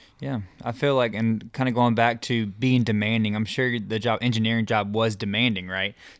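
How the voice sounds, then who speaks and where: A man with an ordinary speaking voice, medium in pitch, at a moderate pace with hardly any pauses and fairly even intonation. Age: 20s. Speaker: podcast host. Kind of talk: casual chat.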